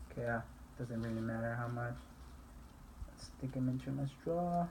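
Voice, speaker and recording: A man with a medium pitch talks at a moderate pace, using ordinary pitch variation. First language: not English. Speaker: student. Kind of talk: tutorial. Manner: halting.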